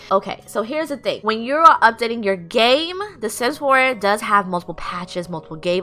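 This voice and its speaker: Music plays in the background as a woman speaks at a fairly quick pace in an animated tone. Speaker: gaming YouTuber. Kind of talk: tutorial. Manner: fast.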